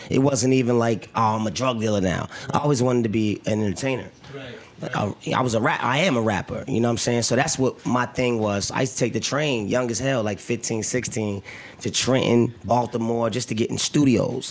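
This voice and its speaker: This man talks at a fairly quick pace, his pitch medium and his intonation fairly even. Noticeable background noise runs under his voice. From New Jersey. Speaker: actor. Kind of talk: casual interview. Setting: studio.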